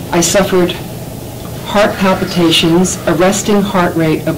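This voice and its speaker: A woman's fairly level intonation comes through audible echo from the room and noticeable background noise. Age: 60s. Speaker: resident speaking at public health hearing. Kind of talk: public testimony. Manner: formal, prepared statement.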